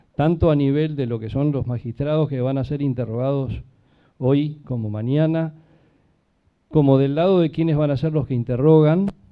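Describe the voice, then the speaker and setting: With fairly even intonation, a normal speaking voice proceeds at a moderate pace. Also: man, fairly high pitch for a man. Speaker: event moderator, law faculty. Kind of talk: event introduction.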